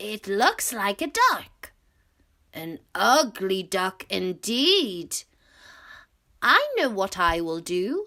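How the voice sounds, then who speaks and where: On a very clean recording with a silent background, a woman uses a put-on character voice at a very slow pace. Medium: read story.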